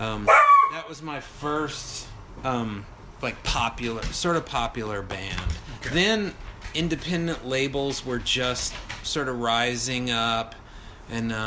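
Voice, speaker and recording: A man's medium-pitched voice at a very slow pace, with long, frequent pauses, ordinary pitch variation, audible room echo and noticeable background noise. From Texas, near Houston. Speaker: touring musician. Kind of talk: casual chat.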